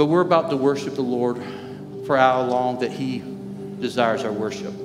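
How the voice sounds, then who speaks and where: With clear music in the background, a man talks at a moderate pace. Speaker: lead pastor. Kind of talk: sermon. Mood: warm, earnest. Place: church.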